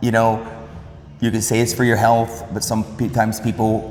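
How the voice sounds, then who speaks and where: A man's medium-pitched voice at a moderate pace, with noticeable background noise and audible room echo. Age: 50s. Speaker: fitness video host. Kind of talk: casual interview.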